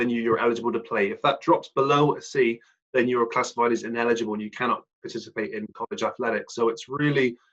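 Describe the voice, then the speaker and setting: A man with a West Country accent talks at a very fast pace. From South West England (Plymouth). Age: 30s. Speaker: ex-pro basketball player turned financial planner. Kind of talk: podcast interview.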